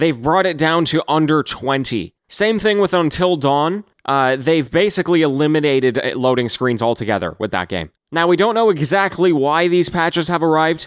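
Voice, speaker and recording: A man with a fairly high pitch and an unremarkable speaking voice talks at a moderate pace with lively intonation. The recording is very clean, with a silent background. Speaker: gaming news host. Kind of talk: daily news show delivery. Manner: casual, conversational.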